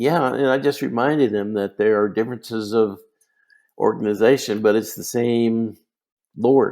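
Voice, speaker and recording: With an American accent, a man speaks at a medium pitch and a moderate pace, his tone dark and mellow. His intonation is fairly even, and the recording is very clean with a silent background. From Utah. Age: 80s+. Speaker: retired church leader. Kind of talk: interview.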